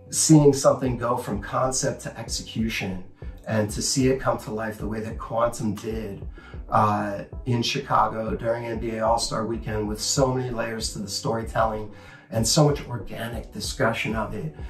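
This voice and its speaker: A man's voice at a moderate pace with ordinary pitch variation, audible room echo and faint music in the background. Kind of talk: master class talk to camera. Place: home room.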